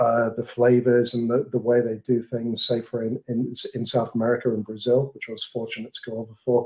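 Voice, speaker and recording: Speaking at a fairly quick pace with hardly any pauses, a man with an English accent holds a medium pitch in a monotone, flat delivery. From England. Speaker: marketing manager. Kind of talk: podcast interview.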